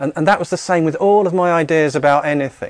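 Against a quiet background, a man talks at a fairly quick pace in a dry sound with no echo. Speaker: spiritual teacher. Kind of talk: talk to audience. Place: studio. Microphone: studio mic.

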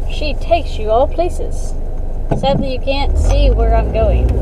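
Over loud background noise, a woman speaks very slowly. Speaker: vlogger driving. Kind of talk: casual vlog chat. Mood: irritated, grumbling. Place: car. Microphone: phone near.

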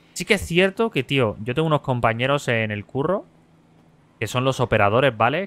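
A man with a normal speaking voice, medium pitch and lively intonation, in a dry, close sound with no echo. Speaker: streamer. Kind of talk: live gameplay roleplay stream chat.

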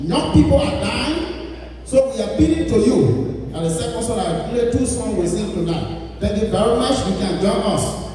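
A man's voice at a moderate pace with very wide pitch swings, strong room echo and light background noise. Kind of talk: announcement to a congregation. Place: church.

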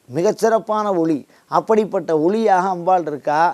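A man speaks with ordinary pitch variation. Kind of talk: religious discourse.

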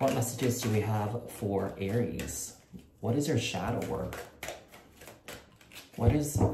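A man's voice with ordinary pitch variation, under loud background noise. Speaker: tarot reader. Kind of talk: casual vlog chat. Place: home room. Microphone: phone near.

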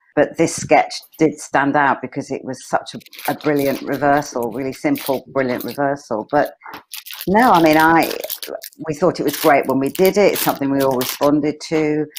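Moderate pace over light background noise. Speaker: comedy actor. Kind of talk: reflective interview. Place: home room. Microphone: earbuds.

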